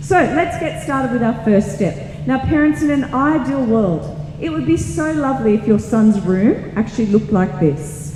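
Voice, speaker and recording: This woman has an Australian accent and a medium pitch, with very wide pitch swings. There is noticeable background noise and audible room echo. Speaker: teacher. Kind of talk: presentation to parents and students. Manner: fast.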